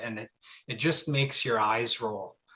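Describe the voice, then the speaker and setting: In a Canadian accent, a man speaks with a bright, sharp tone and ordinary pitch variation on a very clean recording with a silent background. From Canada (Ontario). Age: 30s. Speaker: palaeontologist. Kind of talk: public lecture. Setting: live-streamed video talk. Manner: hesitant, many fillers.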